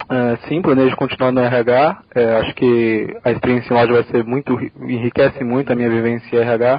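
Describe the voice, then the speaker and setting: In a medium-pitched voice, a man talks at a moderate pace with monotone, flat intonation and hardly any pauses. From Brazil, São Paulo. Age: 20s. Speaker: corporate trainee. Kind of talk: interview.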